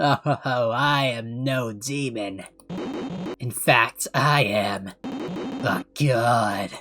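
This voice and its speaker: A man's raspy, put-on character voice at medium pitch and a very slow pace, with music in the background. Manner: menacing, arrogant.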